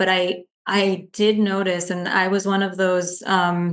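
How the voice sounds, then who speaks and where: A woman at medium pitch, her intonation monotone and flat. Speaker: speech-language pathologist. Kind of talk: podcast interview. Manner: many fillers and restarts.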